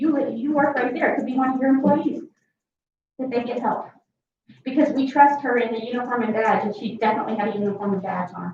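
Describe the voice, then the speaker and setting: A loud woman's voice, high-pitched, with ordinary pitch variation and audible room echo. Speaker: member of the public speaking at a county meeting. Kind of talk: public comment at a government meeting.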